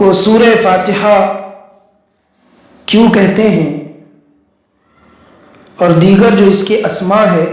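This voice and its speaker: This man's voice sits high in pitch and stays at a very even loudness. His intonation is monotone and flat. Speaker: Islamic scholar giving a religious sermon. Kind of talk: religious lecture / sermon.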